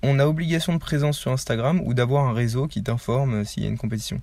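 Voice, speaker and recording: A man talks very fast in a fairly high, somewhat breathy voice with a dark, mellow tone and lively intonation. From Paris suburbs, France. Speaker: street workout athlete, YouTuber. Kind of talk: casual interview.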